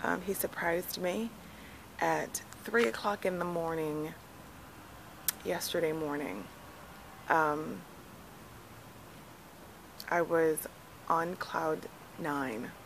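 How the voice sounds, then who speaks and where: Amid light background noise, a woman speaks at a very slow pace with a very deep, low pitch and long, frequent pauses. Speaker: vlogger mom. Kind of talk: casual vlog chat. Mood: calm, slightly emotional. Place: garden. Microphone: phone near.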